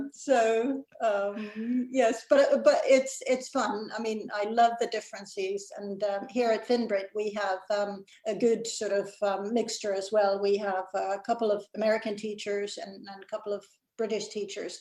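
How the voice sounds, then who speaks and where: A woman with a Mid-Atlantic accent speaks fairly slowly and with hardly any pauses, her fairly high voice kept to a fairly even intonation. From Finland. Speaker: executive director of a language organization. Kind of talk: casual chat. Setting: video call.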